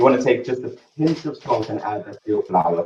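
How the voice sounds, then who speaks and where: A man with a South African accent speaks at a medium pitch with lively intonation. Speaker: chef. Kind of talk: cooking demonstration.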